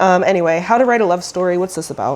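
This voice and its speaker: Lively intonation marks this woman's speech. Noticeable background noise is in the recording. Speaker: book vlogger. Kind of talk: casual vlog. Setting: at home by her bookshelf. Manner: animated.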